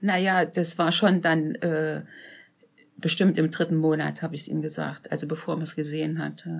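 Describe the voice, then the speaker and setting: Over a very clean recording with a silent background, a woman speaks at a very deep, low pitch with vocal fry. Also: fairly even intonation, moderate pace. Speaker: interviewee, host's mother. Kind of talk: personal storytelling interview.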